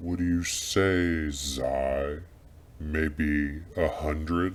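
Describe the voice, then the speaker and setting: A man's put-on character voice, very deep and low, at a very slow pace. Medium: audio drama. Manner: commanding, impatient.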